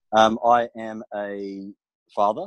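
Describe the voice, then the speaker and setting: Sound is dry and close, with no echo. Nothing stirs in the quiet background. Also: man. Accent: Australian. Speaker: property investment strategist. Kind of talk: interview chat.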